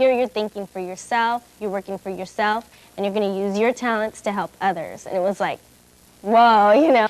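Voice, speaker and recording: With an American accent, a woman talks in a normal speaking voice at medium pitch, with fairly even intonation and a moderate pace. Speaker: youth community activist. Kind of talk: interview.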